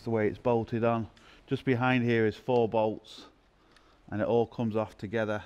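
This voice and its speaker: Speaking at a moderate pace, a man keeps a monotone, flat intonation throughout. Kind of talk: tutorial. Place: garage.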